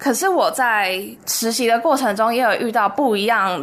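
This woman has a fairly high pitch and lively intonation. She talks at a very slow pace. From Taiwan. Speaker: university student. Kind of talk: radio interview.

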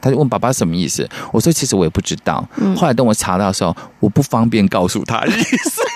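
A man rushes along at a very fast pace, his medium pitch swinging very widely. The sound is dry and close with no echo, though background noise is noticeable. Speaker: radio co-host. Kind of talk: radio show chat.

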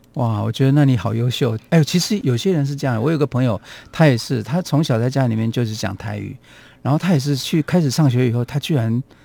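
This man's voice is medium in pitch with a dark, mellow tone. He talks at a very fast pace with ordinary pitch variation. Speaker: radio host. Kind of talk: radio talk show, casual conversation.

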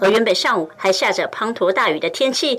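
A woman talks with lively intonation at a moderate pace, and background noise is noticeable. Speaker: news reporter. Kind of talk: news report.

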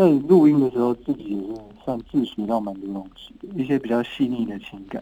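Noticeable background noise sits behind a man talking at a fairly quick pace and medium pitch. His intonation is lively, and his loudness swings widely. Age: 30s. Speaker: singer-songwriter. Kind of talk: casual interview.

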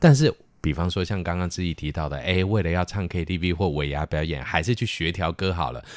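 Fairly quick and full of vocal fry, a man talks in a very deep, low pitch. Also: ordinary pitch variation. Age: 50s. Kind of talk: casual chat.

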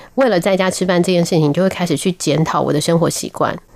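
A woman's fairly low voice with ordinary pitch variation over noticeable background noise. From Taiwan, military dependents' village. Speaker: nutrition professor. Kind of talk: radio interview.

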